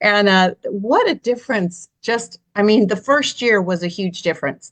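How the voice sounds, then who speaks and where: This woman has an ordinary speaking voice, with lively intonation at a moderate pace. The sound is dry and close with no echo, over a quiet background. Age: 60s. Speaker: health series host. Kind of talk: casual chat.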